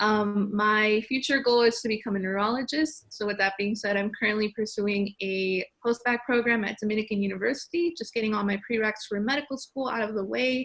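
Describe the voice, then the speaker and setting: A woman with an American accent speaks at a fairly quick pace with hardly any pauses, her pitch fairly high and normally varied, in an ordinary speaking voice. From Chicago, South Side. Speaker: panelist, pre-med student. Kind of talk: panel discussion.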